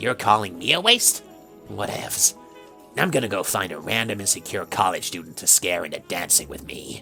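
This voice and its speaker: A woman's put-on, sing-song character voice, very deep and low, at a moderate pace over clear music in the background. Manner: teasing, sing-song.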